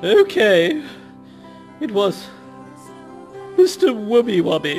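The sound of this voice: A put-on character voice in a fairly high pitch moves at a fairly slow pace with clear music in the background.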